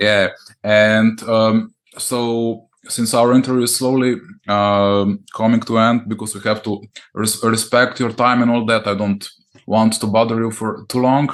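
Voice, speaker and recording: A man with a Slovene accent speaks at a fairly slow pace in a medium pitch, his intonation monotone and flat against a quiet background. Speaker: podcast host. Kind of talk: interview. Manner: halting.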